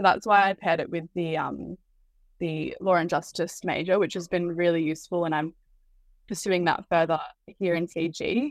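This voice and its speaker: With an Australian accent, a woman speaks in a fairly low voice and fairly even intonation. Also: moderate pace. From Australia, Byron Shire, New South Wales. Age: 20s. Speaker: university student. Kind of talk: interview.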